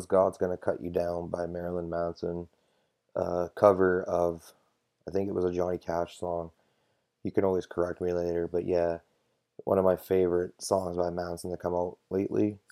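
A man speaks at a moderate pace with a very deep, low pitch, a dark, mellow tone and monotone, flat intonation. The recording is very clean, with a silent background and a dry, close sound with no echo. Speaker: podcast host and DJ. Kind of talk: uncensored, unscripted solo rant podcast, airing grievances. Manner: angry, venting, profane, off-the-cuff; casual, slangy, street talk with laughs.

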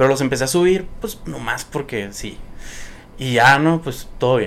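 A man talks in a normal speaking voice at a moderate pace. He has ordinary pitch variation. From Sonora, Mexico (Nogales and Hermosillo). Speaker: social media content creator. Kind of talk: casual chat. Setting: studio.

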